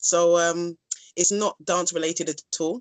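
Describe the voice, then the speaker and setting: A woman with a London accent speaks at a medium pitch and a fairly slow pace. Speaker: dance instructor. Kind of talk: casual interview. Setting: phone call.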